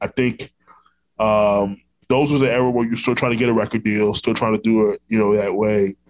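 Here a man talks at a fairly quick pace with ordinary pitch variation. It is an unremarkable speaking voice. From Orlando, Florida. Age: 30s. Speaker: podcast host. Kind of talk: podcast interview.

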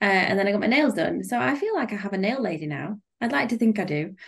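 The voice has a British accent and very wide pitch swings. It sounds somewhat breathy. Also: woman. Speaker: podcast host. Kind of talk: casual chat.

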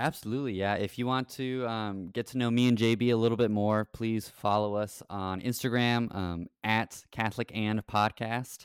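Recorded very cleanly against a silent background, a man speaks in an American accent with an ordinary speaking voice at medium pitch. The sound is dry and close with no echo, and he keeps a moderate pace with fairly even intonation and hardly any pauses. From Texas, Rio Grande Valley. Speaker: parish evangelization director and podcast co-host. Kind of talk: casual interview about scripture.

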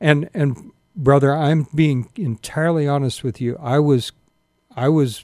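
Fairly high-pitched man with an American accent and a dark, mellow tone, moderate pace, dry, close sound with no echo, and a very clean recording with a silent background. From Sacramento, California. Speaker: pastor and homeless mission director. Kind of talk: radio interview. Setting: studio. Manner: halting, repeats words.

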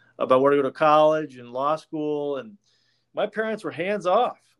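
A man with an American accent and a fairly high pitch is heard in a very clean recording with a silent background. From Washington State (Yakima). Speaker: lawyer and podcast host. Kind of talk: casual interview.

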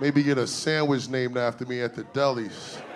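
A flat, monotone delivery against noticeable background noise. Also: man. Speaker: stand-up comedian. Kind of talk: stand-up comedy set, crude, raunchy storytelling. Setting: stage with audience. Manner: deadpan, conversational, punchline-driven with self-laughs; casual slangy delivery, 'right?' tag after setups.

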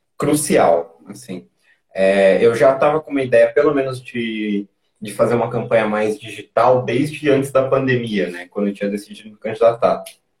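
A man speaks at a fairly slow pace and medium pitch, his voice somewhat breathy. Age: 20s. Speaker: former city council candidate. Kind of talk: interview.

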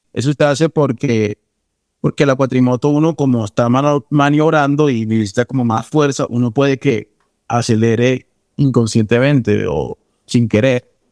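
A man's medium-pitched, normal speaking voice at a moderate pace, with ordinary pitch variation, very even loudness, and a dry, close sound with no echo. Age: 20s. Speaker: actor. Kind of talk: personal storytelling interview.

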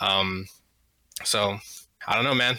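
Here a man speaks in a bright, sharp tone. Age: 20s. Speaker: video game streamer, podcast co-host. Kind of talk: casual chat.

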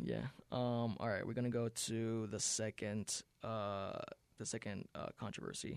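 A medium-pitched man speaks at a very slow pace with fairly even intonation in a very clean recording with a silent background. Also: dry, close sound with no echo. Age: young. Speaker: podcast host. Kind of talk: casual chat. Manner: halting.

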